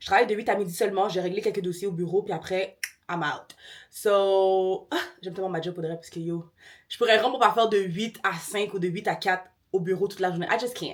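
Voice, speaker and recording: A woman talks at a fairly quick pace in a medium pitch. Her tone is animated. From Quebec. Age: 20s. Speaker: lifestyle vlogger. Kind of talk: casual vlog talk to camera. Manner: fast.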